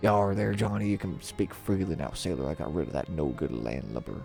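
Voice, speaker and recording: A man's gruff, put-on character voice, very deep and low, fairly quick, with clear music in the background. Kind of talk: pirate slang. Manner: gruff, muttering.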